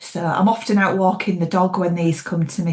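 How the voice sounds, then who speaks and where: Noticeable background noise surrounds a woman speaking at a moderate pace. She has a fairly low pitch and a Yorkshire accent. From Yorkshire, England (York). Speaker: thriller author. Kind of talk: interview.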